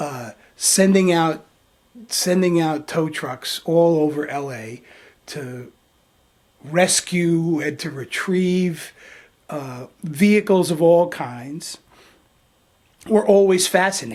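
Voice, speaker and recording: Very slow and broken by long, frequent pauses, a man's high-pitched voice shows ordinary pitch variation and big swings in loudness. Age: 60s. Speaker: video blogger. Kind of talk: vlog tribute monologue. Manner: halting, many fillers and repetitions.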